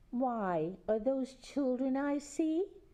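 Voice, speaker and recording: This is a put-on character voice from a woman. Her pitch is high. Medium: read story. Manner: falsely sweet.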